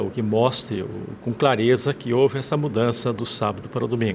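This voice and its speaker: A medium-pitched male voice at a moderate pace. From Rio Grande do Sul, Brazil. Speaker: former pastor. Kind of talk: testimony. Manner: halting.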